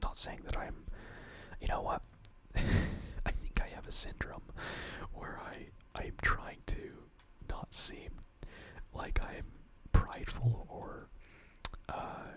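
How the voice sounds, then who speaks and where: A man whispers at a very slow pace, with long, frequent pauses and big swings in loudness. Noticeable background noise runs underneath. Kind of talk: ASMR whispered ramble while gaming. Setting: late-night home recording with keyboard and mouse sounds. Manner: soft-spoken, whispered, rambling, hesitant.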